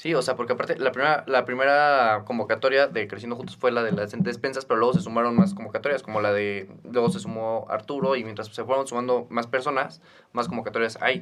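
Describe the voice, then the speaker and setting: A man's medium-pitched voice at a very fast pace, ordinary pitch variation and hardly any pauses, with music in the background. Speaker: podcast host, student. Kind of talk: casual chat.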